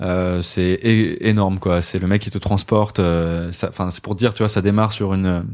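A man speaks at a moderate pace with hardly any pauses, his very deep, low voice monotone and flat. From Brittany, Côtes-d'Armor. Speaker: YouTuber. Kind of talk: casual chat. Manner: halting.

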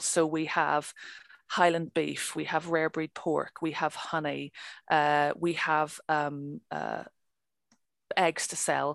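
Against a quiet background, a woman with a very deep, low pitch talks at a fairly slow pace in a dry, close sound with no echo. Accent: Northern Irish. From Northern Ireland. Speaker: crofter. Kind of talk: interview. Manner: talkative.

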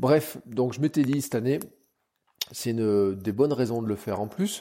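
The recording is very clean with a silent background, carrying a man's dark, mellow tone. He speaks at medium pitch and a fairly slow pace, with ordinary pitch variation. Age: 40s. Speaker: podcaster. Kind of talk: casual solo monologue. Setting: home kitchen. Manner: halting.

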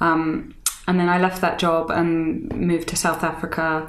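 In a British accent, a woman speaks at a fairly slow pace. Audible room echo surrounds her voice. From UK. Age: 30s. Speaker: author and fashion writer. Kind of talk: casual interview.

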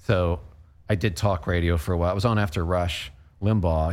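Fairly quick speech from a man, very deep and low in pitch, with ordinary pitch variation. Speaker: radio personality and author. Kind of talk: casual interview chat.

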